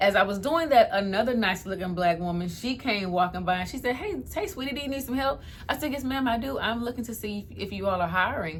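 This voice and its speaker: A woman's animated, fairly high voice at a very fast pace, with lively intonation, hardly any pauses and noticeable background noise. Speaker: lifestyle vlogger. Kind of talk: storytime testimony. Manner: fast when excited.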